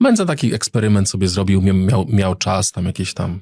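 A man speaks at a fairly quick pace in a fairly low, somewhat breathy voice with a dark, mellow tone and ordinary pitch variation. The recording is dry and close with no echo. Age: 40s. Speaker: politician. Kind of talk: casual interview.

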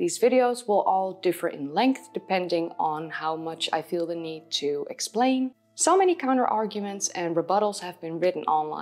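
A woman's lively intonation, with hardly any pauses. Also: moderate pace. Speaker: history video host. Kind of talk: commentary to camera. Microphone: lapel.

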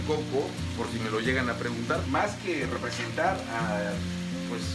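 A man talks at a moderate pace while loud background noise plays behind him. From Campeche, Mexico. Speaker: amateur cook, product photographer. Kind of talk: cooking show casting video. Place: kitchen. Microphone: phone near.

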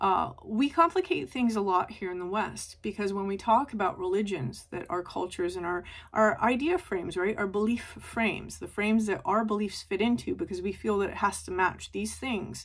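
A woman at a moderate pace with hardly any pauses, against a quiet background. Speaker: tarot reader. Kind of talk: spiritual reading talk. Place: home room. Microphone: phone near.

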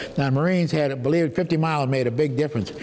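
A man with a New Orleans accent and ordinary pitch variation. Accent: New Orleans Southern US. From US South, New Orleans; Louisiana. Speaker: war veteran. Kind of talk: testimony. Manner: halting. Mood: reminiscing, hesitant. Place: home room. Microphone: lapel.

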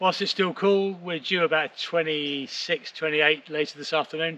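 A man at a moderate pace, his intonation fairly even. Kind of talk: casual vlog chat. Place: garden. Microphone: phone near.

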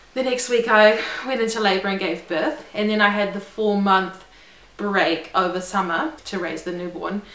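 Speaking at a moderate pace, a woman uses medium pitch and ordinary pitch variation. Audible room echo surrounds her voice. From New Zealand. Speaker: lawyer. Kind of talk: casual talk to camera. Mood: friendly, upbeat. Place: home room.

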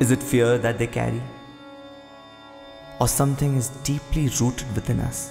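Over music in the background, a man of medium pitch talks at a moderate pace with fairly even intonation and long, frequent pauses. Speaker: voice-over artist. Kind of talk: spoken word tribute voice-over, reflective monologue. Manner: reflective, questioning.

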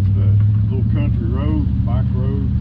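A man speaks at a fairly slow pace. Loud background noise sits behind him. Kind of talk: group announcement. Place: street. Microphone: camera far.

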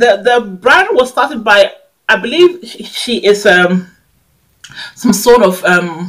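A woman's medium-pitched voice with a fairly bright tone.

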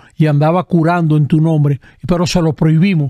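This man's voice sits fairly high, with ordinary pitch variation. The tone is dark and mellow, and the sound is dry and close with no echo. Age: 70s. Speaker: Jesuit priest and historian. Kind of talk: casual chat.

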